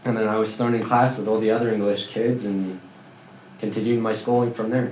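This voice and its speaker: Speaking at a fairly quick pace, a man holds a medium pitch and monotone, flat intonation, with audible room echo. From France. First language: French. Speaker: former Scientologist. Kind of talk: interview.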